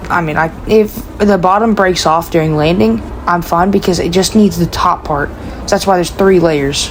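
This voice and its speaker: A woman talks at a moderate pace with a fairly low pitch and ordinary pitch variation. Noticeable background noise runs under her voice. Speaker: gaming YouTuber. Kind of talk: casual gameplay showcase. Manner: halting, many fillers.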